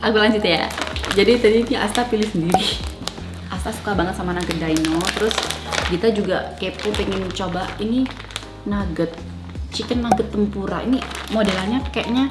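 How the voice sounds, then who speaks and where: A woman speaks at a fairly quick pace with music in the background. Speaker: vlogger. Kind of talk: casual vlog chat. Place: home room.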